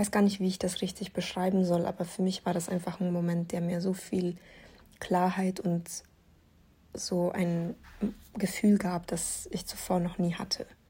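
In a very clean recording with a silent background, a woman speaks at a moderate pace with long, frequent pauses. Her medium-pitched voice has a dark, mellow tone, somewhat breathy and monotone, with flat intonation. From Lower Bavaria, Germany. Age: 20s. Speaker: podcaster, university student. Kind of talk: personal monologue, testimony. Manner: halting, many filler sounds.

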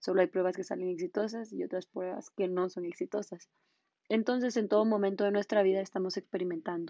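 Dark, mellow tone at a fairly quick pace, with fairly even intonation and a dry, close sound with no echo. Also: woman. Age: 20s. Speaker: law student and podcaster. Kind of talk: scripted monologue.

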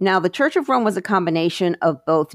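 Close and dry with no echo, a woman's voice comes through against a quiet background. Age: 50s. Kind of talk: Bible teaching monologue with scripture reading. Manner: halting, with many fillers.

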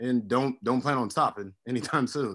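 In a very clean recording with a silent background, a man uses a normal speaking voice at a moderate pace with fairly even intonation. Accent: American. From Miami, Florida. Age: 30s. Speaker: university administrator and former college basketball player. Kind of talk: casual interview chat.

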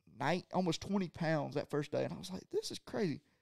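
A man talks at a fairly quick pace. He speaks with a Southern US accent. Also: dry, close sound with no echo. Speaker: college angler. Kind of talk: casual chat.

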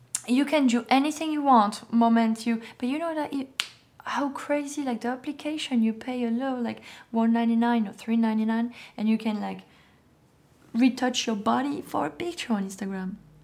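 A woman's fairly high voice in a French accent, at a moderate pace with ordinary pitch variation. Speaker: fashion model. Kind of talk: casual interview.

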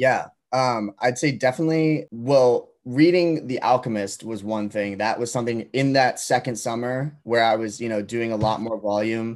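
In an ordinary speaking voice, a man with an American accent talks at a moderate pace and medium pitch. His pitch variation is ordinary, and the background is quiet. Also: hardly any pauses. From Massachusetts, near Boston. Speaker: college student and clothing startup founder. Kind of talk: casual interview.

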